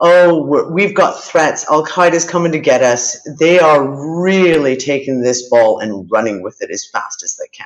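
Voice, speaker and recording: Her pitch is fairly low, and her lively intonation comes with big swings in loudness at a fairly slow pace. This woman has an ordinary speaking voice. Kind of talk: live news commentary to camera.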